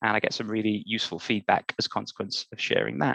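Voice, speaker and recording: A man talks at a very fast pace with a Welsh accent. His tone is bright and sharp, and the sound is dry and close with no echo. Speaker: workshop facilitator. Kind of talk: online workshop presentation.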